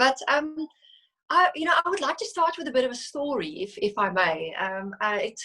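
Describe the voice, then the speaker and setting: Her pitch swinging very widely, a woman speaks with a South African accent. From South Africa, Cape Flats (Philippi, Cape Town). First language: Afrikaans. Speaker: financial services executive. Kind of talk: interview. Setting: video call. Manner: halting, frequent self-corrections.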